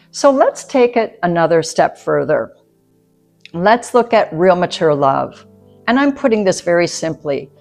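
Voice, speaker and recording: The voice moves at a moderate pace with very wide pitch swings while music plays in the background. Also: woman. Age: 60s. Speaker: nurse midwife. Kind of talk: educational talk to camera.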